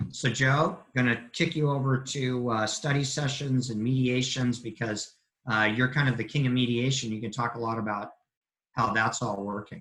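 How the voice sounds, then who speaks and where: With an ordinary speaking voice, a man speaks at a medium pitch and a moderate pace, his intonation fairly even. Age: 60s. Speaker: family law attorney. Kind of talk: webinar presentation.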